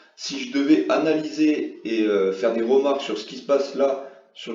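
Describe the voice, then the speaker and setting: Over noticeable background noise and audible room echo, a man's speech unfolds at a fairly slow pace. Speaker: forex trading youtuber. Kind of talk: tutorial. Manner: hesitant, many fillers.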